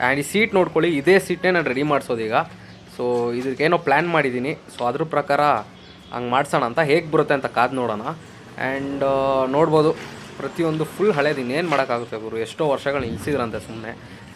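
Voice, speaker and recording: Using an unremarkable speaking voice, a man talks at a fairly high pitch with ordinary pitch variation. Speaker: motorbike vlogger. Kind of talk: vlog walkthrough. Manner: casual, filler-heavy.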